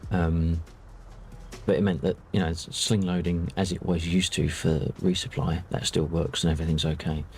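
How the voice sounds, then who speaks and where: Over background music, a soft-spoken man with a very deep, low pitch talks at a moderate pace, with fairly even intonation and very even loudness. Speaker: flight sim streamer. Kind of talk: casual chat.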